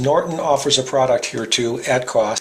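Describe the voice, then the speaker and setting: A man speaks at a moderate pace. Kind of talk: tutorial narration.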